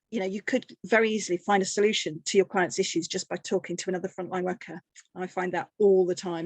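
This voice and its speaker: The background is quiet, and the sound is dry and close with no echo. A woman speaks at a medium pitch. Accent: English. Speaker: energy advice charity worker. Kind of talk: webinar presentation. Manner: fast; animated.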